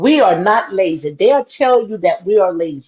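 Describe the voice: The voice has a slightly mellow tone with a slightly husky edge, lively intonation and a moderate pace. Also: woman.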